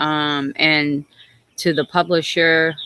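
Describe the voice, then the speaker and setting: In a very clean recording with a silent background, a woman speaks in a very deep, low pitch. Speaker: suicide attempt survivor and peer specialist. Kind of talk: casual livestream chat. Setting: outdoors livestream by river. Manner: hesitant, many fillers; jumps around, conversational.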